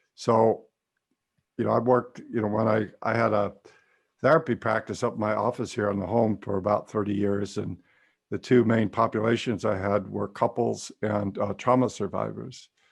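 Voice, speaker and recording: Moderate pace and vocal fry, with an American accent. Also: man, fairly low pitch for a man. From California. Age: 60s. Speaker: psychotherapist and trance teacher. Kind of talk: webinar lecture and Q&A. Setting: video call.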